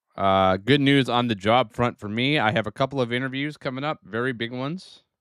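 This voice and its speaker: A man with a Northeastern US accent and ordinary pitch variation, in a dry, close sound with no echo on a very clean recording with a silent background. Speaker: gaming streamer. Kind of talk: live gameplay stream chat. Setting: home room, live stream. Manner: casual, halting with fillers.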